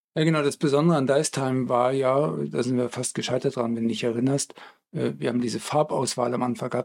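A man talks at a fairly quick pace with a medium pitch and ordinary pitch variation. He has an unremarkable speaking voice. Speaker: podcast co-host, game studio colleague. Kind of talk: casual chat.

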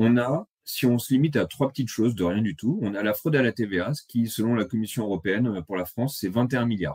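A man with an ordinary speaking voice at medium pitch, ordinary pitch variation, a fairly quick pace and hardly any pauses. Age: 30s. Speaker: economics blogger. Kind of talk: presentation.

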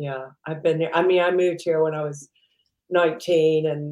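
Speaking at a fairly quick pace, a woman with an American accent has a very deep, low pitch. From US South, Mississippi. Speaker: entrepreneur. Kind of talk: interview.

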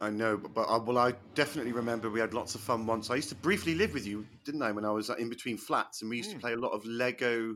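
This man talks at a very fast pace in a bright, sharp tone. His pitch is medium and his intonation fairly even. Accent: British. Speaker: comedian. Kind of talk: casual banter interview.

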